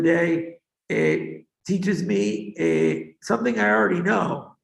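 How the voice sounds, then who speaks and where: A man with a Boston accent swings his pitch very widely, with audible room echo in the recording. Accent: Boston American English. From US, Boston. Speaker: education advisor. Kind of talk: talk to students.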